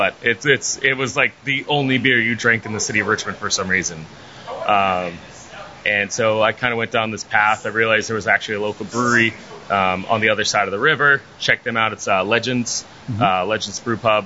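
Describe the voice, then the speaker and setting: Over noticeable background noise, a man talks at a fairly quick pace in a fairly low pitch with fairly even intonation. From northern Virginia, outside D.C. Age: 30s. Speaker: brewery owner. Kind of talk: interview. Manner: hesitant, many fillers.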